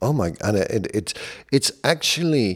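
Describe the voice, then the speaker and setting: A man's medium-pitched voice in a British accent, fairly slow, with very wide pitch swings, on a very clean recording with a silent background. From Britain. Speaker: leadership coach. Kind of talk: casual chat.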